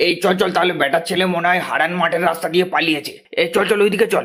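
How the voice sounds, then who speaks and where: A cartoonish character voice from a man, high-pitched, racing along at a very fast pace with monotone, flat intonation. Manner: gruff.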